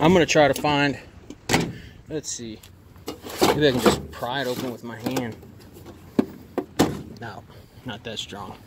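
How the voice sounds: The speaker moves at a fairly slow pace, with ordinary pitch variation and long, frequent pauses. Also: man, medium pitch for a man.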